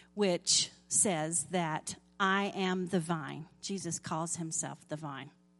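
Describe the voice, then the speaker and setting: Music plays behind a woman with an American accent who speaks very slowly with ordinary pitch variation. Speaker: lay preacher. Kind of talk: sermon. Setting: church.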